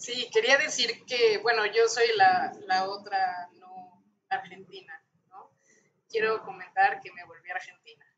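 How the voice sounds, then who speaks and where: A woman with a medium pitch speaks at a very slow pace, leaving long, frequent pauses. Her loudness swings widely. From Mexico. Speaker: translator. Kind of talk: panel discussion. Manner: halting.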